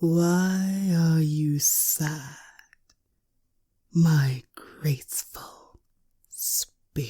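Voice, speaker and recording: A woman puts on a character voice with a very deep, low pitch. She talks at a very slow pace with long, frequent pauses. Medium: read story. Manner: grand, aloof.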